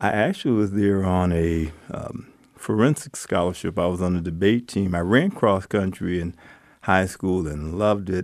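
A man with an American accent speaks in a very deep, low voice with ordinary pitch variation against a quiet background. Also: moderate pace. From Los Angeles, California. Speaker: retired teacher and pastor. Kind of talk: interview.

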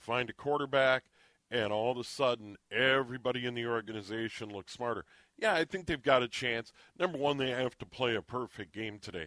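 A man with an American accent speaks in a plain, everyday voice at medium pitch, moving at a fairly quick pace with ordinary pitch variation, the sound dry and close with no echo on a very clean recording with a silent background. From Minnesota. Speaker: sports radio host. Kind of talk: radio interview.

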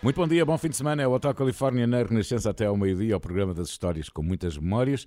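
A man races along at a very fast pace with hardly any pauses, his medium-pitched voice making very wide pitch swings. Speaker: radio host. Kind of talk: casual chat.

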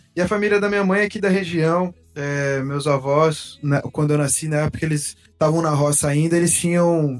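A man speaks at a moderate pace with a fairly high pitch and very even loudness. Noticeable background noise sits behind him. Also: ordinary pitch variation. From Blumenau, Santa Catarina, Brazil. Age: 20s. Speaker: singer-songwriter. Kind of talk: casual interview chat.

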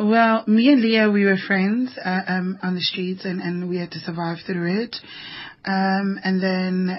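Breathing a little into her words, a woman speaks at a medium pitch. Her pace is very slow. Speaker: human trafficking activist and author, radio guest. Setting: radio studio.

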